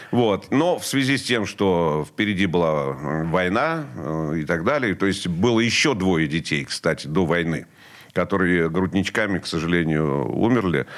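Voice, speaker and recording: A man with a very deep, low pitch talks at a fairly slow pace with lively intonation. The recording is very clean, with a silent background. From central Russia, Vladimir region. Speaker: rock musician and radio host. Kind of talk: interview.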